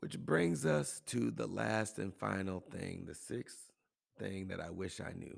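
A man with a very deep, low pitch and vocal fry talks at a fairly slow pace, his voice making very wide pitch swings. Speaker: podcast host and health and wellness coach. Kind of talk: solo motivational monologue.

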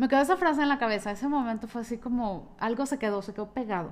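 A woman with a Mexican accent, a fairly high pitch, ordinary pitch variation and a very fast pace. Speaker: podcaster. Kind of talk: personal storytelling monologue.

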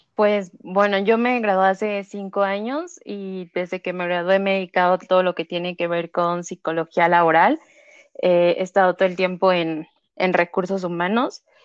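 Speaking at a moderate pace, a woman with a Mexico City accent uses a medium pitch and fairly even intonation. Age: 30s. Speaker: psychologist working in human resources. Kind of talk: interview.

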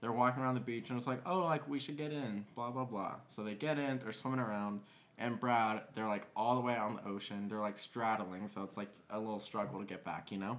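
At a fairly quick pace, a man talks with an ordinary speaking voice, medium pitch and ordinary pitch variation. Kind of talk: casual storytelling. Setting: home dining room.

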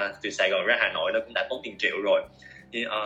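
This man talks over noticeable background noise. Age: 20s. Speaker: marketing professional, master's student. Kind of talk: interview.

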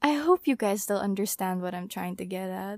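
At a moderate pace, a voice with very wide pitch swings comes through dry and close with no echo, on a very clean recording with a silent background. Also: woman. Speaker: podcast host. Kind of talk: casual monologue. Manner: rambling with many fillers and hesitations.

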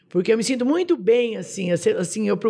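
A man is talking here at a medium speed. His voice sits high. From Brazil, São Paulo state (Jabuticabal). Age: 60s. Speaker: shop owner and cancer survivor. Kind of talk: interview, life story.

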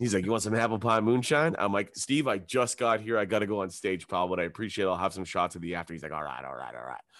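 A man with a Canadian accent and fairly low pitch, very fast pace, hardly any pauses, lively intonation, vocal fry and big swings in loudness, over a quiet background. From Ontario, Canada (Hamilton). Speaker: comedian. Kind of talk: casual chat.

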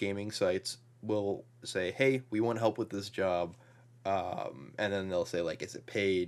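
A man's normal speaking voice, fairly low and fairly slow, with ordinary pitch variation, on a very clean recording with a silent background. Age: 20s. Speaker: video game writer and podcaster. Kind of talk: casual interview.

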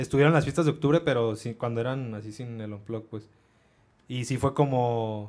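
A man's medium-pitched voice in a Mexican accent, with fairly even intonation, a moderate pace and big swings in loudness. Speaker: podcast co-host. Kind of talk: casual chat.

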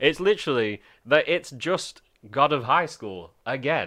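A man speaks very slowly in a bright, sharp tone. His intonation is lively against a quiet background. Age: 20s. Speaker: podcast co-host. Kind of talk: casual chat.

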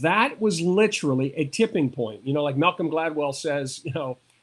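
Using lively intonation, a man speaks in a fairly high pitch with an ordinary speaking voice. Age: 60s. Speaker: motivational speaker and comedian. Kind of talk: interview.

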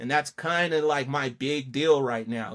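Someone with an American accent speaks at a fairly slow pace on a very clean recording with a silent background. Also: man. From Colorado. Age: 40s. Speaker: comic book creator. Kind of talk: casual chat. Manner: animated.

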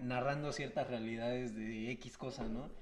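A man's medium-pitched voice at a fairly slow pace, fairly even in intonation, with audible room echo. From Comitán, Chiapas, Mexico. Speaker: podcast guest, student. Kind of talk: casual chat.

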